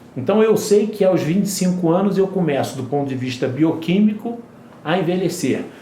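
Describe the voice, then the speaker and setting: Room echo is audible as a man talks at a moderate pace. There is noticeable background noise. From Brazil, Rio de Janeiro. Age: 60s. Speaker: regenerative medicine specialist. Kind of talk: interview.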